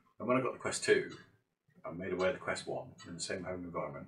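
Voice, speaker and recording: Speaking very fast, a man talks with a British accent. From Britain. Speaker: gaming YouTuber and VR game developer. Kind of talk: casual monologue vlog. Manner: mock-dramatic, conversational.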